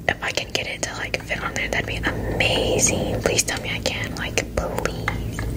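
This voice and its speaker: Soft-spoken whispering with hardly any pauses over loud background noise. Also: woman, moderate pace. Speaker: ASMR video creator. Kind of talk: casual soft-spoken ASMR chat. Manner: soft close-mic ASMR whisper. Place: home room. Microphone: studio mic.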